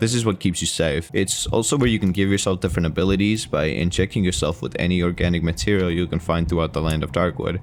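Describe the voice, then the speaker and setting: A man speaks very fast in a very deep, low pitch. His loudness is very even, and there is noticeable background noise. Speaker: video game reviewer. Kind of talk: game review narration. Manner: somewhat monotone.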